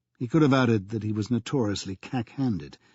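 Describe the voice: The voice does plain reading aloud. Its pitch variation is ordinary.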